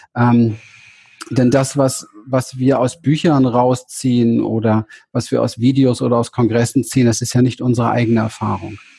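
This man's voice sits at a medium pitch, dark and mellow in tone and somewhat breathy, delivered at a moderate pace with monotone, flat intonation. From Berlin, Germany. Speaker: spiritual coach and therapist. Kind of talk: interview. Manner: halting.

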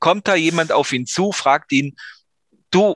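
This man's raised, projected voice has a bright, sharp tone, captured with a dry, close sound and no echo. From East Germany. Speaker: music podcast co-host. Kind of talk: casual chat.

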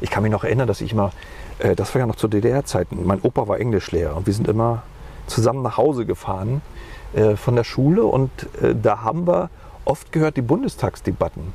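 Lively intonation at a fairly quick pace, broken by long, frequent pauses, over noticeable background noise. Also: man, medium pitch for a man. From East Germany (GDR), Mecklenburg-Vorpommern. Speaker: politician, former radio presenter. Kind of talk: interview. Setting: outdoors on a bench by a lake. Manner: hesitant, repetitive.

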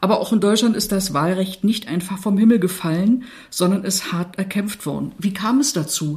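Her voice is somewhat breathy. The woman talks at a medium pitch. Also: ordinary pitch variation, moderate pace. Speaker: podcast co-host, municipal equality officer. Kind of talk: scripted conversation on women's voting rights.

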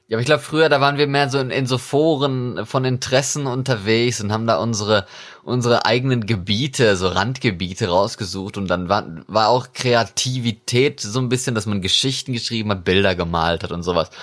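A man with an unremarkable speaking voice and a medium pitch moves at a fairly quick pace, his pitch varying in an ordinary way. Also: very clean recording, silent background. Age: 20s. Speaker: podcast host. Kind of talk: casual chat.

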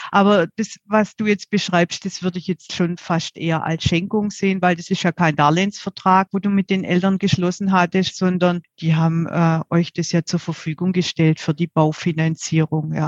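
Speaking at a moderate pace, a woman has a fairly low pitch. Her intonation is monotone and flat. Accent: southern German. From southern Germany. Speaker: mortgage advisor. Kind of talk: expert interview. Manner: frequent fillers.

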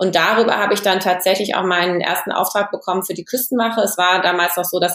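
With a plain, everyday voice, a woman speaks at medium pitch and a fairly quick pace, with fairly even intonation. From western Germany (Hesse and Lower Rhine). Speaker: film and TV director. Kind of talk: interview.

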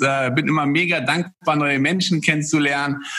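A man at a moderate pace and fairly high pitch, over noticeable background noise. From Poland. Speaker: former pro cyclist and entrepreneur. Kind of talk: interview.

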